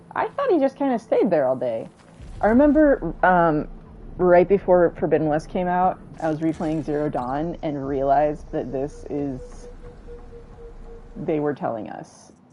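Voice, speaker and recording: Music plays in the background as a woman with an American accent speaks at a fairly slow pace, her lively intonation broken by long, frequent pauses. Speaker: video game streamer. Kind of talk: casual live-stream chat. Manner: low energy; halting, many fillers.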